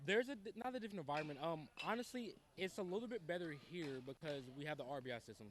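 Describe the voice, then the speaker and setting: This man speaks with an American accent at a very fast pace. His high pitch swings very widely. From Ohio, Dayton area. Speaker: high school baseball coach. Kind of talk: interview.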